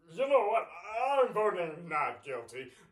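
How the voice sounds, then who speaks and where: A man speaks in a put-on character voice, pitched high. His pitch swings very widely at a moderate pace. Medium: stage play. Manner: formal, measured.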